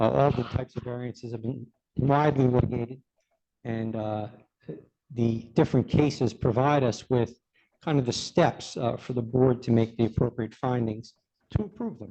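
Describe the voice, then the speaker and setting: A man talks in a Brooklyn accent at a moderate pace. His tone is dark and mellow, and his intonation is fairly even. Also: medium pitch for a man. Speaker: expert planner. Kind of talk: expert testimony. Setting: public meeting room. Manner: hesitant fillers.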